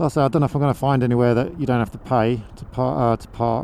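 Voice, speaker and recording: Talking very fast with a southern English accent, a man uses a medium pitch, fairly even intonation and a dark, mellow tone. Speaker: motovlogger. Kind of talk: casual vlog monologue while riding. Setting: riding a motorbike outdoors, helmet mic. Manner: halting, many fillers.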